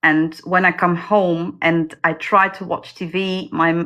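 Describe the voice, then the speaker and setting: A woman with a non-native accent, fairly low in pitch, bright and sharp in tone, flat and monotone in intonation. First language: not English. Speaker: indie fantasy author. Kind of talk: interview. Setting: livestream video call.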